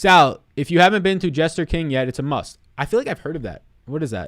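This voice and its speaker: A man with an American accent, very fast, dry with no echo, over a quiet background. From New York City (Staten Island); New York. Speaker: sports betting and fantasy sports analyst; fantasy sports analyst. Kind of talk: live stream chat. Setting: live stream. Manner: animated. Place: home room. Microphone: studio mic.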